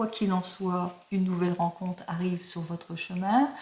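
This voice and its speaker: A woman at medium pitch speaks over noticeable background noise. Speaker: tarot card reader. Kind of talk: tarot reading video.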